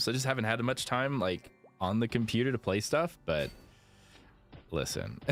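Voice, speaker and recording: With music in the background, a man speaks at a medium pitch and moderate pace, his intonation lively. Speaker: video game streamer. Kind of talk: live gaming stream chat. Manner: casual, filler-heavy.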